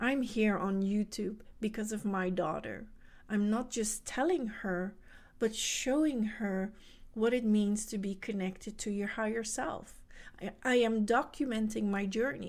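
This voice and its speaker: A woman with a Dutch accent, fairly high in pitch, ordinary pitch variation, at a fairly slow pace. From Netherlands. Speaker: spiritual coach. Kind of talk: motivational talk.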